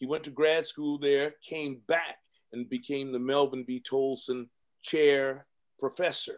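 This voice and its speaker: A man with an American accent talks fairly slowly in a fairly high, monotone, flat voice. The background is quiet. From Compton, California. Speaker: entertainment lawyer. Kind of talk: interview, life story. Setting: video call. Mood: heartfelt storytelling. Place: office.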